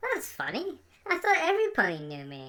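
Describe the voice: A female-sounding, cartoonish character voice moves at a fairly quick pace.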